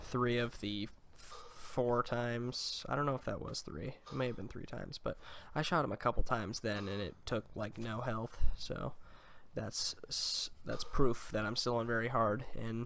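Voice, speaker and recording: Quiet and at a medium pitch, a man speaks at a moderate pace with fairly even intonation. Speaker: gaming YouTuber. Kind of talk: gameplay commentary. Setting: home recording, dubbed commentary.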